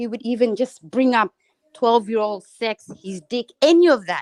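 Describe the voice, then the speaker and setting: Speaking with an Australian accent, a woman has a fairly high pitch and ordinary pitch variation at a fairly slow pace. The recording is dry and close, with no echo. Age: 30s. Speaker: caller on a livestream. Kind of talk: casual chat.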